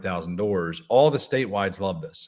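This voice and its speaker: On a very clean recording with a silent background, a man with a Philadelphia accent talks with ordinary pitch variation. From Pennsylvania, Delaware County (Philadelphia area). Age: 30s. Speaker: political organizer. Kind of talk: podcast interview.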